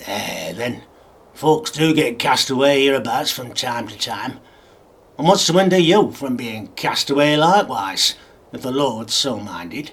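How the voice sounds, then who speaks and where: A man puts on a growling character voice at a medium pitch with lively intonation and big swings in loudness. He talks at a moderate pace. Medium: read story. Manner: growling, sulky.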